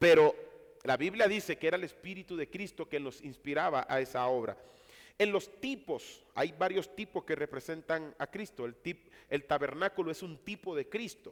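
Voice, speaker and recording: In a very clean recording with a silent background, a man speaks at a fairly slow pace with a high pitch and ordinary pitch variation. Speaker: Bible teacher. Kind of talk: lecture.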